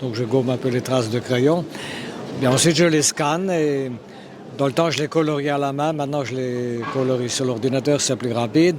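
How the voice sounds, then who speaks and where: Over noticeable background noise, a man with a medium pitch talks at a moderate pace with fairly even intonation. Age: 70s. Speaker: illustrator and cartoonist. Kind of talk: interview. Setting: trade fair. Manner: hesitant, many fillers and repetitions.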